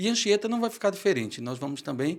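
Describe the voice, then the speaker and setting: The recording is very clean, with a silent background. A man speaks with lively intonation at a fairly quick pace. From Brazil, Pernambuco. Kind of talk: interview.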